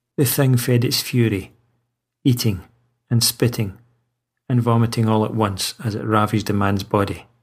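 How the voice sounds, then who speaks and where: Fairly low-pitched, somewhat breathy male voice at a moderate pace, with fairly even intonation. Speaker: audiobook narrator and horror author. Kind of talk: horror story narration, read aloud.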